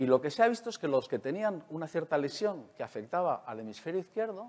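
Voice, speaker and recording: This voice moves at a fairly quick pace, its pitch swinging very widely. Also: man. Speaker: neuroscientist; conference speaker. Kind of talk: lecture. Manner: fast. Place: hall.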